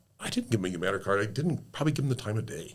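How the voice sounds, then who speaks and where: A man with an American accent, lively intonation and vocal fry. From Sault Ste. Marie, Michigan/Ontario area (Great Lakes). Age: 60s. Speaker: car dealership owner and community volunteer. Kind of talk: casual interview storytelling.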